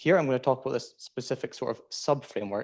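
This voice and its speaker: Speaking with a Scottish accent, a man keeps a fairly quick pace. His pitch varies in an ordinary way. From Scotland. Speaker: PhD student presenter. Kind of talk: conference talk.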